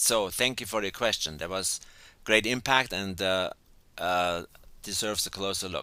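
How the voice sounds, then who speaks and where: A man with a German accent, fairly low in pitch with ordinary pitch variation, bright and sharp in tone at a moderate pace. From Germany. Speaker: educational coach. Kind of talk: webinar lecture. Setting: teleclass call.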